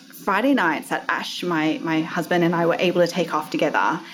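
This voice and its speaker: There is noticeable background noise. Over it, a woman speaks with lively intonation. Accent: Australian. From Australia. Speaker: entrepreneur. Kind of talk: casual interview chat.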